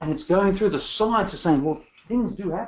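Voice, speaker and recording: Pitch swings very widely while the words come at a moderate tempo. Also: man. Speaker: public health expert and lecturer. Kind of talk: lecture. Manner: animated.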